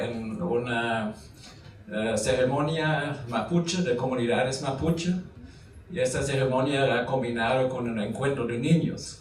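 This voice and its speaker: Fairly slow speech from a man, plus audible room echo and noticeable background noise. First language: German (speaking Spanish). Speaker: academic lecturer. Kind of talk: lecture. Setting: university conference hall with audience. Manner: halting, many fillers.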